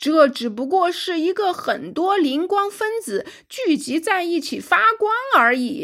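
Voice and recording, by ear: A put-on character voice with big pitch swings and a fairly bright tone, delivered at a fairly slow pace. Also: woman, extremely high pitch for a woman.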